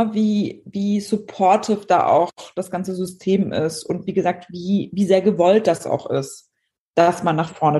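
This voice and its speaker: At a moderate pace, a woman with a medium pitch speaks in a dark, mellow, somewhat breathy tone with ordinary pitch variation. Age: 30s. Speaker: entrepreneur and brand strategist. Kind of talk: casual chat.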